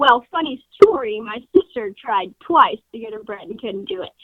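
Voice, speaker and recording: This woman speaks with an American accent. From Colorado. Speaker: rancher and feed sales rep. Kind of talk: casual interview.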